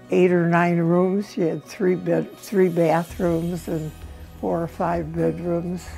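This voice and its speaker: Over music in the background, a woman with an American accent speaks at a very slow pace. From Chicago. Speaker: grandmother sharing family memories. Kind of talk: interview answer.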